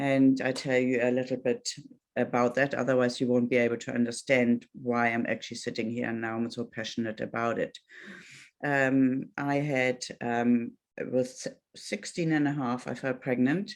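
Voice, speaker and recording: Her voice has a very deep, low pitch and fairly even intonation, with a German accent. The woman speaks at a moderate pace. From Germany. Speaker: Pilates instructor and life coach. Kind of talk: talk to online audience. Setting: video call. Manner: halting.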